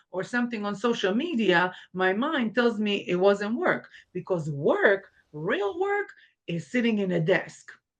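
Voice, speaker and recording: With a non-native accent, a woman speaks at a fairly slow pace, her medium-pitched voice carrying lively intonation. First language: not English. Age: 40s. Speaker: makeup artist and life coach. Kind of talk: interview.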